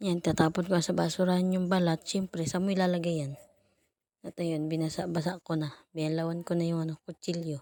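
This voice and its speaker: Fairly quick and monotone, a woman speaks at a fairly low pitch with flat intonation. The sound is dry and close with no echo, on a very clean recording with a silent background. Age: 20s. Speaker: vlogger, mother. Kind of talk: casual vlog narration. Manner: playful, self-mocking.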